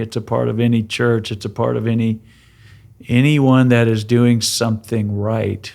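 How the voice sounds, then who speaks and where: A normal speaking voice from a man, medium in pitch, fairly even in intonation, at a moderate pace, on a very clean recording with a silent background. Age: 60s. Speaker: pastor. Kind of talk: casual chat.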